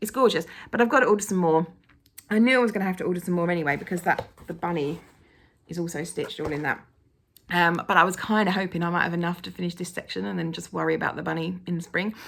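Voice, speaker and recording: In an English accent, a woman talks at a very fast pace with a fairly low pitch, ordinary pitch variation and vocal fry. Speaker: cross-stitch vlogger. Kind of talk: casual vlog chat. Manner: animated.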